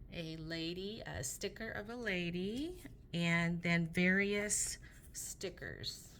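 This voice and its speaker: Her voice sits fairly low for a woman, with ordinary pitch variation, a very slow pace and audible room echo. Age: 50s. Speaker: paper craft seller showing products. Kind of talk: product show-and-tell. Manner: casual with frequent fillers. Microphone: camera mic, sound problems.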